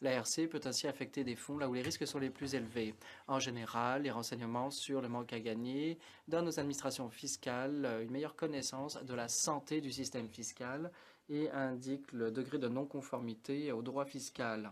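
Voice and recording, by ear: A man at a moderate pace and medium pitch, with fairly even intonation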